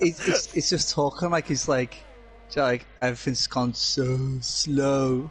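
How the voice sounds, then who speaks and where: A man in a Scouse accent, fairly high in pitch and fairly slow, with fairly even intonation, very even loudness, and music in the background. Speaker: sim racing co-commentator. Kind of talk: live commentary.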